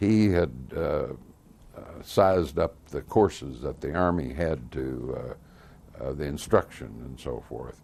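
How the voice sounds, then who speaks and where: A very deep, low male voice in an American accent, with vocal fry, a very slow pace, lively intonation and big swings in loudness. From US Midwest, Missouri (Lafayette County). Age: 80s+. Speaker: World War II veteran. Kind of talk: oral history interview. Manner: halting, many fillers.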